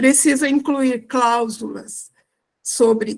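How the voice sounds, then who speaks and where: A woman talks very slowly in a somewhat breathy, monotone, flat voice. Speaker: church fundraising consultant. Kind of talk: online live class.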